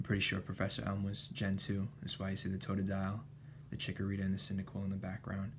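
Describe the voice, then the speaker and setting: The speaker is soft-spoken and somewhat breathy. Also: man. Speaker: ASMR creator. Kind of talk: ASMR card show-and-tell, casual talk to camera.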